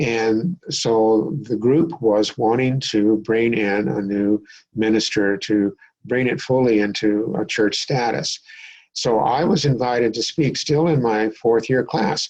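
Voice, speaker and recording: The speech moves at a very slow pace with ordinary pitch variation and very even loudness. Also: man, medium pitch for a man. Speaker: minister. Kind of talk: interview.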